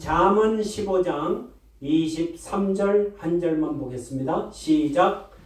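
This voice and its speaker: The speech moves at a very slow pace with ordinary pitch variation, while noticeable background noise and audible room echo fill the recording. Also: man. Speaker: pastor. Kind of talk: sermon.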